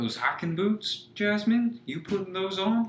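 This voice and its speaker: Putting on a character voice, a man talks at a fairly slow pace in a husky, high pitch with ordinary pitch variation. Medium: audio drama.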